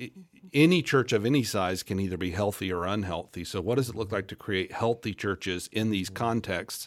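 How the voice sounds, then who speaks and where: A man with an American accent and an unremarkable speaking voice, fairly low in pitch, with ordinary pitch variation. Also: fairly quick pace. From US South, Central Florida. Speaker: pastor. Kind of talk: interview conversation.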